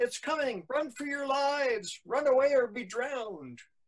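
A man in a put-on character voice speaks at an extremely high pitch, using lively intonation at a fairly slow pace.

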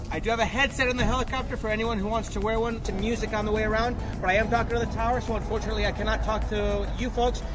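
Music in the background behind a male speaker. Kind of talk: safety briefing. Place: street. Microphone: camera far.

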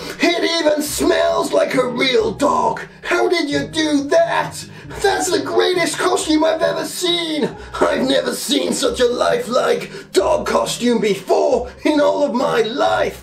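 A cartoonish character voice from a man, fairly slow pace, clear background noise. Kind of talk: comic puppet sketch. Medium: puppet show.

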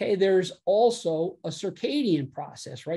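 A man's dark, mellow voice with ordinary pitch variation. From United States. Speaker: physician. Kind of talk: lecture. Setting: video call. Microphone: video call.

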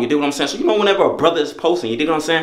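There's audible room echo here. It rings around the man's voice. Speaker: vlogger. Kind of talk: casual vlog chat. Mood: excited, a bit nervous. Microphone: phone near.

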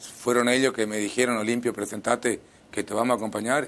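Moderate pace with fairly even intonation. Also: man. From Misiones, Argentina. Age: 50s. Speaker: mayoral candidate; candidate. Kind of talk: interview. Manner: halting. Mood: calm, earnest. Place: studio. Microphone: lapel.

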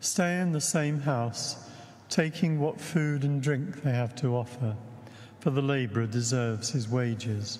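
A somewhat breathy voice at a fairly slow pace, with ordinary pitch variation and very even loudness. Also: man. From England. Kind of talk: liturgy and homily. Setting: church. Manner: formal. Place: church.

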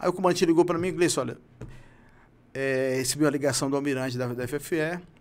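Very fast and fairly high-pitched, a man talks with fairly even intonation. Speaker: retired marine special forces sniper. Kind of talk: interview testimony. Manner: halting. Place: studio. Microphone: studio mic.

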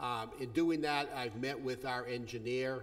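The delivery keeps a moderate pace. Behind it, all is quiet. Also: man. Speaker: attorney addressing board. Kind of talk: public comment address. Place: meeting room. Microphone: podium.

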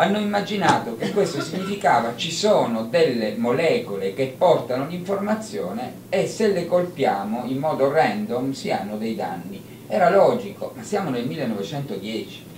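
A man speaks at a fairly slow pace. Light background noise and audible room echo are present. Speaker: conference speaker. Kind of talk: lecture. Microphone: handheld.

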